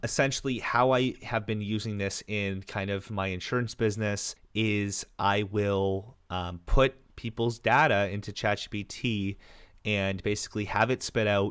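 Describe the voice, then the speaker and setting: A man with an unremarkable speaking voice talks in a fairly low pitch at a moderate pace with fairly even intonation, on a very clean recording with a silent background. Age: 20s. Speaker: entrepreneur and insurance advisor. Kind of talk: casual talking-head tutorial. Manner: casual, with fillers.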